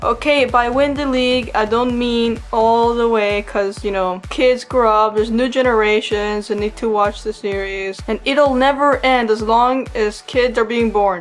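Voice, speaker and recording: Mumbling from a woman at a fairly high pitch, fairly slow with hardly any pauses and fairly even intonation, over music in the background. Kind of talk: casual commentary to viewers. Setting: home recording with audio issues. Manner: mumbles a lot.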